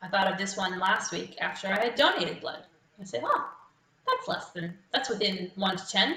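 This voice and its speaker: Speaking with an Australian accent, a woman talks at a moderate pace and medium pitch with lively intonation. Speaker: quiz host. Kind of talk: live quiz hosting. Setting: live stream from home.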